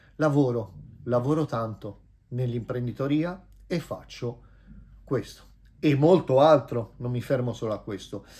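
A man's somewhat breathy, dark, mellow voice at a fairly slow pace, with long, frequent pauses. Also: ordinary pitch variation. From Italy. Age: 50s. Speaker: vlogger and businessman; vlogger. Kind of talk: casual vlog monologue. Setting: at home. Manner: animated. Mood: warm, self-assured. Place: home room. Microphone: phone near.

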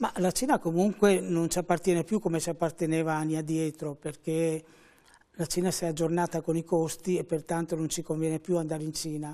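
A man's high, dark, mellow voice at a fairly quick pace, monotone and flat, over a quiet background. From Venice, Veneto, Italy; Veneto, Italy. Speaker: fashion school director. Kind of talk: TV interview. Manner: measured. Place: studio. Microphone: lapel.

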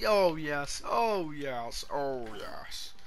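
A man performs a put-on character voice. Background noise is clearly heard. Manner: comic, drawn-out.

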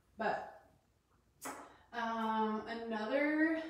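Room echo is strong around a woman with an American accent. Her voice is fairly high, with ordinary pitch variation. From Colorado. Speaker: doula and essential oils teacher; essential oils teacher. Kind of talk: live-streamed class. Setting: live video recorded in her bathroom. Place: bathroom. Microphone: possible room echo; camera far.

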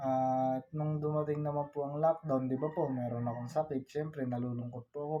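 Talking at a very fast pace, a man keeps his fairly high pitch and fairly even intonation. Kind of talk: personal life story told to camera, vlog-style confessional about illness. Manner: soft-spoken, halting, earnest and polite with frequent 'po'.

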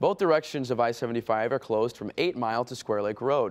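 A fairly quick pace carries the speech. The voice is a man's. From United States. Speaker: TV news anchor. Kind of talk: TV news read. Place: studio. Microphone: lapel.

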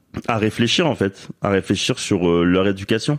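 A man speaks at a very slow pace in a fairly low pitch. The background is quiet. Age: 30s. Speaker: father sharing his story. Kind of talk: interview testimony. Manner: halting, many fillers.

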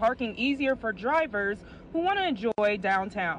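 Light background noise sits under talking that moves at a fairly quick pace. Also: dry sound with no echo. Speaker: radio field reporter. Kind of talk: news report.

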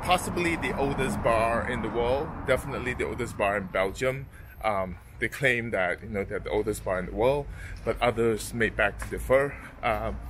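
A man talks at a moderate pace, and noticeable background noise runs underneath. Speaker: travel vlogger. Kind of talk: casual vlog chat. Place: street. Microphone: phone near.

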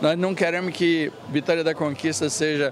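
Recorded dry with no echo and light background noise, a man talks at a moderate pace in a high pitch. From Bahia, Brazil. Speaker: coffee farmer and cooperative president. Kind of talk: interview. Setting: event venue. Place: hall. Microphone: handheld.

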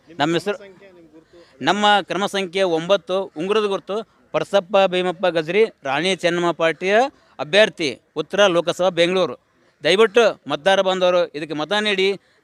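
With fairly even intonation, a man speaks at a high pitch in a dry, close sound with no echo, on a very clean recording with a silent background. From Koppal district, north Karnataka. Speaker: election candidate. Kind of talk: campaign appeal to media.

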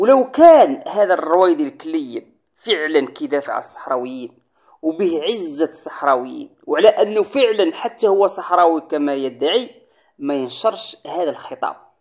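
A man's high voice in a Moroccan accent, fairly slow, with very wide pitch swings. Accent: Moroccan Darija. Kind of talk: political commentary monologue. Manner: emphatic.

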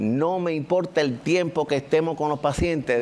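With ordinary pitch variation, a man's voice sits high in pitch. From Cuba. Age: 60s. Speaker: cosmetic surgeon; guest. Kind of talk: casual chat. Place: studio. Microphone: lapel.

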